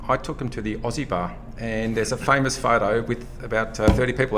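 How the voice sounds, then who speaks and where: This man talks at a very fast pace with a medium pitch and fairly even intonation. Noticeable background noise runs under his voice. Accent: Australian. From Australia. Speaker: economics professor. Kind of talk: casual chat. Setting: hotel breakfast area.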